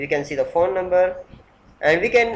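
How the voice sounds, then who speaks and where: A man with a non-native accent talks at a moderate pace and a high pitch. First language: not English. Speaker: software developer. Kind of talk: software demo tutorial. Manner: halting.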